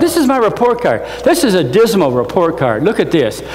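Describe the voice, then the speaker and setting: Over noticeable background noise and audible room echo, a man with an American accent speaks at a moderate pace with very wide pitch swings. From US Midwest, northwest Indiana. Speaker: motivational speaker, NASA engineer. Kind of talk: motivational talk. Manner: animated.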